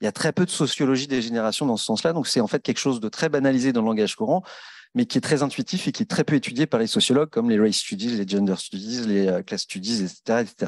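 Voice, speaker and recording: The man speaks at a very fast pace. His voice sits at medium pitch with lively intonation. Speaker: housing association director, panelist. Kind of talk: round table discussion. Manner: many hesitations and fillers.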